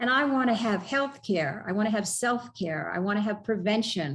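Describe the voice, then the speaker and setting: A somewhat breathy, fairly high-pitched woman's voice with lively intonation at a moderate pace, in a very clean recording with a silent background. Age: 70s. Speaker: triathlete and health advocate. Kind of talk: interview. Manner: animated.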